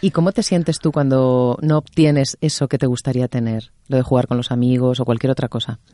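The speaker moves at a fairly quick pace with hardly any pauses. The background is quiet. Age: 40s. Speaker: talk show host. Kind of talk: interview.

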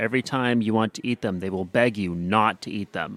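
An unremarkable speaking voice from a man, medium in pitch with ordinary variation, at a moderate pace, in a dry, close sound with no echo. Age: 20s. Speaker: podcast host, nerdcore rapper. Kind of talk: casual chat.

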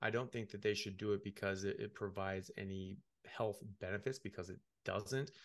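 A man with an American accent and a plain, everyday voice, fairly low in pitch, with fairly even intonation at a fairly quick pace over a quiet background. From United States. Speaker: medical doctor. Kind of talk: interview.

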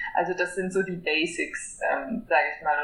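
A medium-pitched woman at a moderate pace, with audible room echo and noticeable background noise. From western Germany, near Koblenz. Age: 20s. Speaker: environmental activist. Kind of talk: interview.

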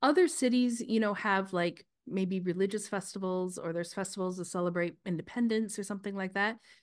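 A woman with a Canadian accent talks in a plain, everyday voice at a medium pitch and a fairly quick pace, with ordinary pitch variation and a quiet background. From Canada. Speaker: podcast co-host, healthcare practitioner. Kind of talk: casual chat.

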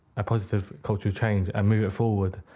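A man speaks at a fairly low pitch with a dark, mellow tone, on a very clean recording with a silent background. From UK, British-born Chinese. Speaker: record label founder and accountant. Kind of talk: casual chat.

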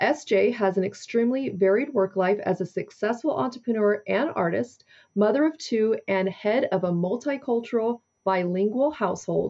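In a normal speaking voice, a woman talks at a moderate pace with fairly high pitch, ordinary pitch variation and very even loudness. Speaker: podcast host. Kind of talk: interview.

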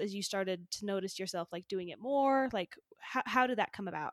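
An ordinary speaking voice, a woman with an American accent talks at a fairly quick pace with lively intonation, in a dry, close sound with no echo. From Utah. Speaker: podcast host. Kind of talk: casual interview chat.

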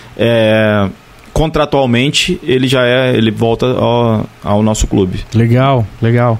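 A man's medium-pitched voice at a very slow pace, with ordinary pitch variation, very even loudness and noticeable background noise. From Barra do Piraí, Rio de Janeiro state, Brazil. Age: 40s. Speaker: former professional footballer. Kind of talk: casual interview.

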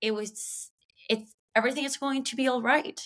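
A woman speaks in a Spanish accent at a moderate pace. Her tone is bright and sharp. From Venezuela. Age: 30s. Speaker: comedian and podcaster. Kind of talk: casual chat.

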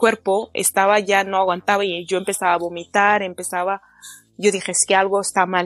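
A woman at medium pitch and a moderate pace, with a dry, close sound and no echo. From France and Spain. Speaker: fashion designer. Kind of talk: casual chat. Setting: long-distance call.

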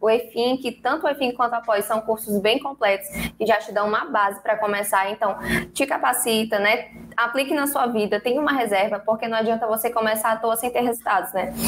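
A woman talks at a fairly quick pace with a fairly high pitch and fairly even intonation. Noticeable background noise sits behind her. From São Luís, Maranhão, Brazil. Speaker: financial educator. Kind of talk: interview. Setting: live stream / video call.

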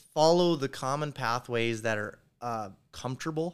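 A man with an Upper Midwest accent talks at a moderate pace and medium pitch, with lively intonation. The recording is very clean with a silent background. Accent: Upper Midwest American. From North Dakota. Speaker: construction company owner. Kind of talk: casual chat. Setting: hotel room in Las Vegas, drinking beer.

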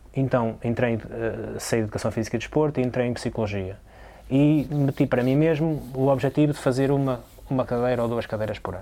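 A man's dark, mellow voice at a medium pitch, with a very fast pace and fairly even intonation. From Portugal, São João da Madeira. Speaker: basketball player. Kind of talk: casual chat. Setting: sports hall.

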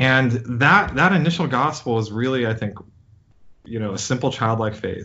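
With a normal speaking voice, a man talks at a moderate pace, his medium pitch showing ordinary variation. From US, child of Indian immigrants. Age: 40s. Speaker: scientist and physician. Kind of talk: interview.

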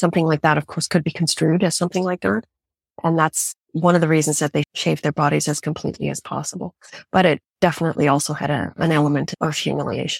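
Speaking very fast with a Canadian accent, a woman uses a very deep, low pitch, vocal fry and ordinary pitch variation, on a very clean recording with a silent background and a dry, close sound with no echo. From Canada. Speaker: journalist and TV presenter. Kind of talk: interview.

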